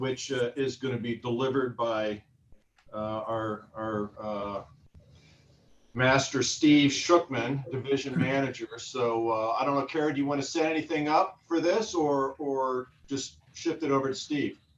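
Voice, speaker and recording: Against noticeable background noise, a man speaks at a fairly slow pace, his medium pitch showing ordinary variation. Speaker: park board president. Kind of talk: formal meeting chairing. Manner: loud; hesitant, many fillers. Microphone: sounds quieter due to distance.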